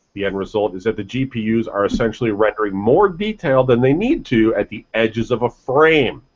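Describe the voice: A man's fairly quick delivery with lively intonation. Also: medium pitch for a man.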